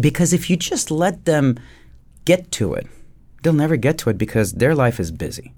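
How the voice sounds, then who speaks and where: Speaking with a French accent, vocal fry and fairly high pitch, a man uses lively intonation with long, frequent pauses on a very clean recording with a silent background. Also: moderate pace. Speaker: dentist and podcast host. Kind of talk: casual podcast conversation.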